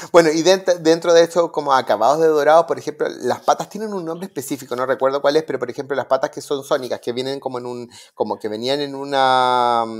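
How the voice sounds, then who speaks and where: Talking at a very fast pace with hardly any pauses, a man with a fairly high-pitched voice is heard on a very clean recording with a silent background. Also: ordinary pitch variation. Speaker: interior designer and podcast co-host. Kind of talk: casual chat.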